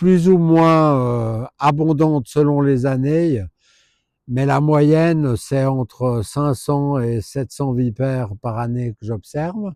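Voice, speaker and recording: In a very clean recording with a silent background and a dry, close sound with no echo, a man with a dark, mellow tone and fairly high pitch speaks at a very slow pace with ordinary pitch variation. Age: 60s. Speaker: herpetologist. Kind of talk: informal presentation to camera. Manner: hesitant, many filler sounds.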